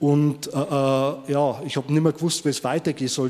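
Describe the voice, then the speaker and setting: A man speaks here in a normal speaking voice. His pitch is fairly high. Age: 50s. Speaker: former prisoner. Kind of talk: testimony.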